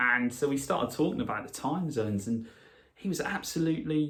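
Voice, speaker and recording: A man speaks in a Norfolk accent. His pace is moderate and his pitch varies in an ordinary way. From Norfolk, England. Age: 40s. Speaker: radio presenter. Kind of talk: casual podcast talk.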